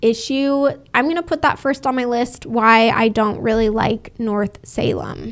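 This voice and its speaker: A woman speaks at a fairly slow pace. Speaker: real estate agent. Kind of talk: video tour narration. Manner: casual.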